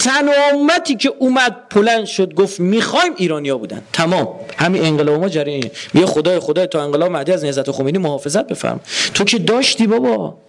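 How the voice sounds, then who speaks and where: A man's high-pitched, animated voice at a very fast pace, with very wide pitch swings and noticeable background noise. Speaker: religious lecturer. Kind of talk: lecture. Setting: university hall with audience.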